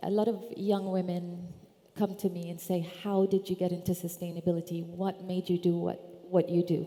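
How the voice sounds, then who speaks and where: A woman speaks with an Arabic accent at a moderate pace. Her pitch is fairly low. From Iraq (Baghdad), then London from age 7-8. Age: 50s. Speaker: sustainability consultant and conference speaker. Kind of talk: conference talk.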